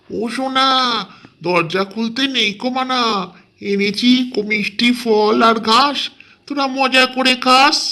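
In a put-on character voice with a fairly high pitch, the speaker goes at a fairly slow pace. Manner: coaxing, sweet-talking.

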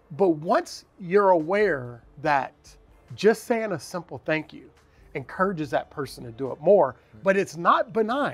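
A man with an American accent and high pitch, very wide pitch swings, big swings in loudness, a moderate pace, long, frequent pauses and music in the background. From US Midwest (Cincinnati, Ohio). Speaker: zookeeper. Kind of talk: casual interview. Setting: outdoors.

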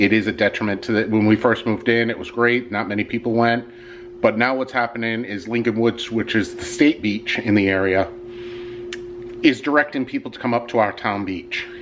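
A man speaks with fairly even intonation. Noticeable background noise is present. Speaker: vlogger. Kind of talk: casual vlog chat. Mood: annoyed, complaining. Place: home room. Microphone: phone near.

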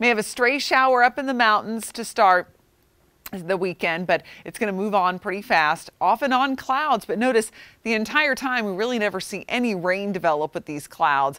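Over a quiet background, a woman with a medium pitch speaks at a moderate pace, her tone bright, sharp, warm and upbeat, with lively intonation. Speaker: TV weather forecaster. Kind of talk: weather report. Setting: TV studio. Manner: conversational, warm and upbeat, with a smooth, steady forecasting pace. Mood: friendly, upbeat. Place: studio.

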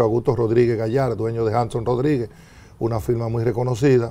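A man speaks in a dark, mellow tone. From Dominican Republic. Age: 60s. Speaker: former government minister. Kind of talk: TV interview. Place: studio. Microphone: lapel.

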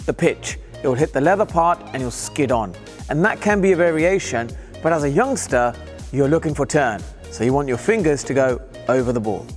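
A man at a fairly quick pace over faint background music. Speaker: cricket coach. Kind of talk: tutorial. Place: hall. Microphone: lapel.

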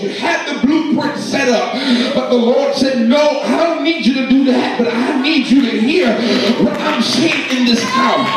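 With music in the background and audible room echo, a man talks at a fairly slow pace. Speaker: preacher. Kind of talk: sermon. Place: church. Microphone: camera far.

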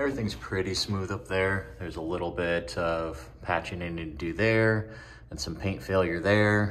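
With light background noise behind him, a man talks at a moderate pace in a very deep, low voice with ordinary pitch variation. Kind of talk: casual vlog tutorial. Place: home room. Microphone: phone near.

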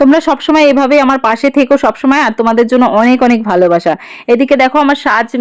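A woman's high-pitched voice with a warm tone and ordinary pitch variation, in a dry, close sound with no echo. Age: 20s. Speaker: lifestyle vlogger. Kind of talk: casual vlog narration. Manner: chatty, warm.

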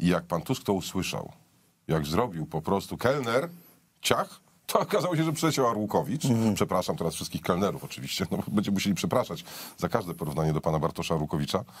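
A man with a fairly low pitch, very wide pitch swings, and a very fast pace. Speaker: political commentator. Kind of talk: political commentary chat. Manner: sarcastic. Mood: ironic, mocking. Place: studio.

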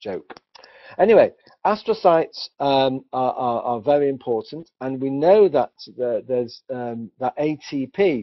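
With a British accent, a man talks at a fairly slow pace in a medium pitch, his intonation lively. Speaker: doctor presenting research. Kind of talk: webinar presentation. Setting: online webinar.

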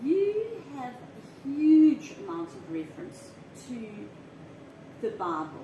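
A woman with a high pitch speaks with very wide pitch swings and long, frequent pauses. Light background noise and audible room echo fill the recording. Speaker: interviewer and vlogger. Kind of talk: casual interview chat. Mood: warm, friendly. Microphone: camera far.

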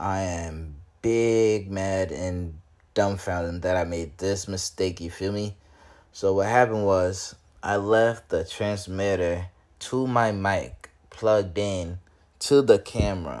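Against a quiet background, a man speaks at a very slow pace in a fairly low voice with ordinary pitch variation. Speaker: vlogger host. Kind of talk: casual vlog chat. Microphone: phone near.

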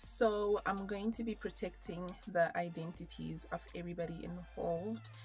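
A woman at a moderate pace with hardly any pauses, music in the background. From Zimbabwe. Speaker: YouTuber. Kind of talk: storytime talk to camera. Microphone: phone near.

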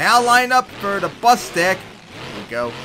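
Over noticeable background noise, a man speaks in an animated, excited tone. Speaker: game commentator. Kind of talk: live play-by-play commentary over game footage. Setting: voiceover recorded over gameplay video. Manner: animated, fast play-by-play with excited exclamations.

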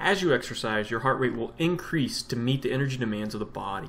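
A man at a fairly quick pace with lively intonation, music in the background. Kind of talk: educational vlog explanation. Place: home room. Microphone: webcam.

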